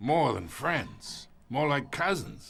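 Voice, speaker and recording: A man puts on a character voice. It is raspy and pitched fairly high. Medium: video game. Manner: gloating, chuckling.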